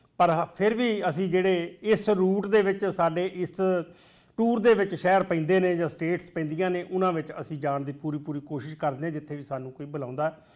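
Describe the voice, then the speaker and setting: Over a quiet background, a man speaks at a high pitch. His pitch variation is ordinary. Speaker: TV show host. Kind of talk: TV show introduction. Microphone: lapel.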